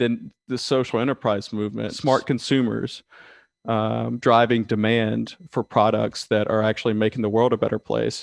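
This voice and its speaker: A man's medium-pitched, monotone, flat voice at a fairly slow pace, dry and close with no echo, over a quiet background. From US South, rural south Georgia. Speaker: management consultant. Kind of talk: interview.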